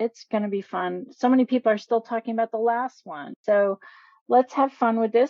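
Fairly high pitch and ordinary pitch variation in a normal speaking voice from a woman. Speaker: co-host of writing show. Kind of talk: radio show hosting.

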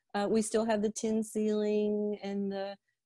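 A woman's fairly high voice with a dark, mellow tone and a Kentucky accent, dry and close with no echo. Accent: Kentucky Southern US. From Liberty, Kentucky. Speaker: pharmacist and drugstore owner. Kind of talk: interview. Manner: animated.

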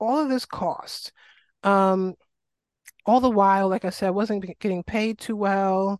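With an American accent, a woman speaks at a fairly slow pace in a medium pitch, recorded with a dry, close sound and no echo. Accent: faint New York, stronger back home. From New York City, Queens. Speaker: health and wellness coach, Lyme advocate. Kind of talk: life story interview.

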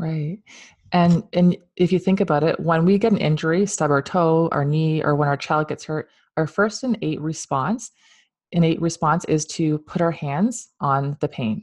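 A woman with a Canadian accent and a normal speaking voice talks at a moderate pace in a fairly low pitch, with ordinary pitch variation over a quiet background. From Ontario, Canada. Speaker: podcast host, Reiki master and spiritual guide. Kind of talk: casual interview chat.

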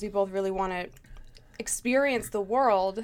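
A woman speaks at a moderate pace and medium pitch. It is an ordinary speaking voice. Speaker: host's girlfriend. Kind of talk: casual chat. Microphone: far from the mic.

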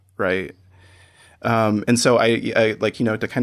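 A man with an American accent, fairly low in pitch, with vocal fry and monotone, flat intonation. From Iowa, US Midwest. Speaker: artist and photographer. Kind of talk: interview conversation. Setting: remote call. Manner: halting, many fillers.

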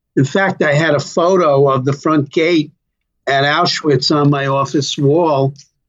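A man speaks fairly slowly in a fairly high voice. His loudness stays very even. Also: fairly even intonation. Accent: New York. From New York, Brooklyn. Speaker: retired government labor official. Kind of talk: interview. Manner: hesitant, many fillers.

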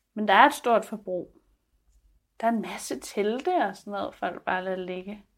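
A woman speaks in a normal speaking voice at medium pitch and a moderate pace, with ordinary pitch variation. Her loudness swings widely, and the recording is very clean with a silent background. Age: 30s. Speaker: filmmaker. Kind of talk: interview and advice column.

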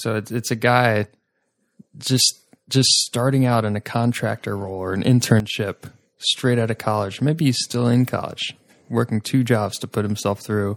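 A man uses an ordinary speaking voice at medium pitch, with fairly even intonation and a moderate pace. The sound is dry and close with no echo, in a very clean recording with a silent background. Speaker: recurring podcast guest. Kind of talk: casual chat.

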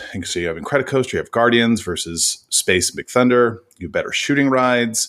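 In a very clean recording with a silent background, a man with an unremarkable speaking voice talks at a fairly quick pace, his medium pitch carried by lively intonation. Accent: American. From Oakland, California. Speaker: podcast co-host and producer. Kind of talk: casual chat.

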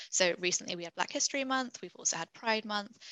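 A woman's bright, sharp voice at a fairly quick pace, with ordinary pitch variation and a dry, close sound with no echo. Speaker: senior consultant. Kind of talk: webinar Q&A, conversational.

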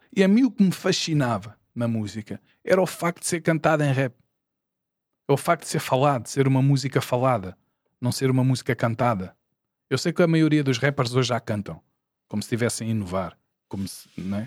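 With lively intonation and long, frequent pauses, a man speaks at medium pitch in a dry, close sound with no echo on a very clean recording with a silent background. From Portugal, Lisbon area (Porto Salvo, Oeiras). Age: 40s. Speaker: rapper. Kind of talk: casual chat.

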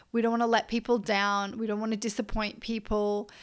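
On a very clean recording with a silent background, a woman with an Australian accent speaks at a medium pitch in a monotone, flat intonation. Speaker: podcast host, coach. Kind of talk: casual monologue.

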